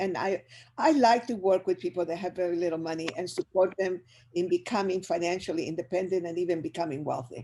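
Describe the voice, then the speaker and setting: Dark, mellow in tone, this voice carries a Spanish accent and moves at a fairly quick pace. Its pitch varies in an ordinary way over a quiet background. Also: woman. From Chile. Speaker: business educator. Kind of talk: motivational presentation. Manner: animated.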